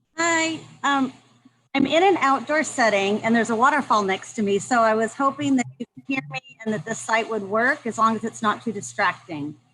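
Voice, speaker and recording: Loud and bright, sharp in tone, a woman talks at a fairly high pitch with lively intonation. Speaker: review team member. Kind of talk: casual chat. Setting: outdoors on video call. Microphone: laptop.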